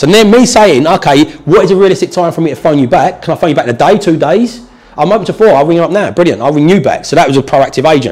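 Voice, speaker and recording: Speaking very fast with hardly any pauses, a man with a southern English accent uses a high pitch and lively intonation. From southern England. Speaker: property investor and trainer; trainer. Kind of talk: tutorial / training session with live call. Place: meeting room.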